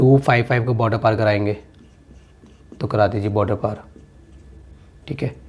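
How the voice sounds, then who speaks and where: Somewhat breathy, a man's medium-pitched voice holds a fairly even intonation. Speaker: maths teacher. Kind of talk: tutorial. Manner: conversational, repetitive checks.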